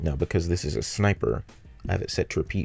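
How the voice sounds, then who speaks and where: Lively intonation carries a man's very deep, low voice, which has vocal fry. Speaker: game level designer. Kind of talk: tutorial voice-over narration.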